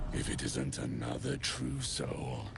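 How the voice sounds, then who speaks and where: A man puts on a character voice at a fairly slow pace. Loud background noise runs behind him. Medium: machinima. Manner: gruff, crude, aggressive.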